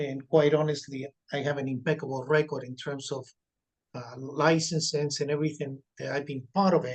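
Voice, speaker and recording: Pitched fairly high, a man speaks at a moderate pace with monotone, flat intonation. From Spain. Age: 60s. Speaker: restaurant manager. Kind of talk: public hearing testimony. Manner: halting.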